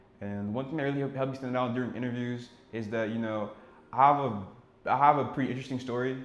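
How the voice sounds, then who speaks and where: Here a man speaks very fast at a medium pitch, with monotone, flat intonation. There is audible room echo. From Senegal and Ivory Coast. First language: French. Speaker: cybersecurity engineer, YouTuber. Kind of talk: casual vlog intro.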